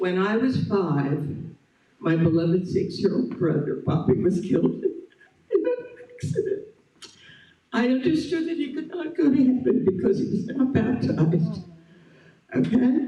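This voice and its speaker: Amid audible room echo, a man talks at a fairly slow pace and a high pitch, with very wide pitch swings and long, frequent pauses. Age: 80s+. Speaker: longtime church member. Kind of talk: testimony read aloud. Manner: reading from prepared pages.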